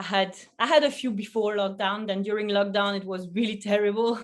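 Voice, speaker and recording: With a French accent, the woman is talking. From Belgium. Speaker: food photographer. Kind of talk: interview. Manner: halting.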